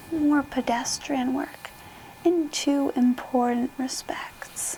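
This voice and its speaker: Soft-spoken delivery comes through over noticeable background noise. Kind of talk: book reading.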